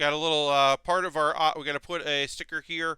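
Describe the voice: This man's tone is clear and smooth. It is also bright and sharp.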